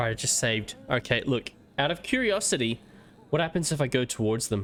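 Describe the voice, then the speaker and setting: With an Australian accent, a man at a medium pitch talks at a fairly quick pace with lively intonation and very even loudness. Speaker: gaming streamer. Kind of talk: live gameplay commentary. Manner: speaking quietly at times.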